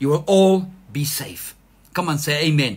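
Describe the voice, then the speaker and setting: A man speaks in a warm tone over light background noise. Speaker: pastor. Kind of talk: sermon. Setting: online church livestream. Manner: animated, fervent, calling for 'amen' responses; warm, exhortative. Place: home room. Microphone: phone near.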